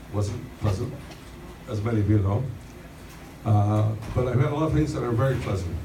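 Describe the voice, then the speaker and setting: A man talks at a moderate pace with audible room echo and noticeable background noise around him. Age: 70s. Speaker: birthday celebrant. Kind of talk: birthday speech. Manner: halting, repeating words.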